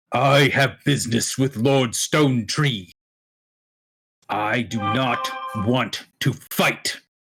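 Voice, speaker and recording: A raspy, booming put-on character voice at a very slow pace, with long, frequent pauses. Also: man, medium pitch for a man. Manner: commanding, calm, frowning.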